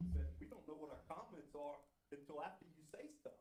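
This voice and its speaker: With an American accent, a man talks at a fairly quick pace over audible room echo. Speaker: citizen speaking at public comment. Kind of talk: heated debate. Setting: city council meeting, at the mic. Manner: loud; halting.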